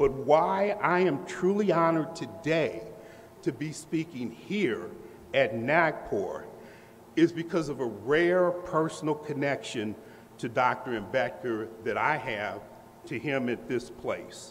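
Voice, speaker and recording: Very slow, with lively intonation, the speaker has an American accent and audible room echo around the voice. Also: man, fairly high pitch for a man. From US Midwest, Indianapolis, Indiana. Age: 60s. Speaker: professor. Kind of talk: lecture. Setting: lecture hall with audience. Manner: formal.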